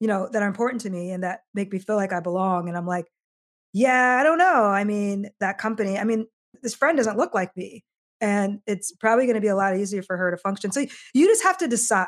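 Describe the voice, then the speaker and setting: A woman with a Midwestern US accent, fairly high-pitched, at a fairly quick pace with lively intonation. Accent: US Midwest. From Iowa, US Midwest. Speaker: diversity consultant and author. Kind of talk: interview conversation.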